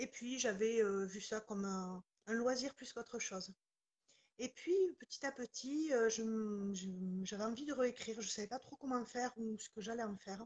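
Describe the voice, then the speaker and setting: A woman with a southwestern French accent, fairly high pitch, fairly even intonation and a somewhat breathy sound, at a moderate pace, with a dry, close sound and no echo. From southwestern France, near Toulouse, Pyrenees. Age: 40s. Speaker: author. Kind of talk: interview.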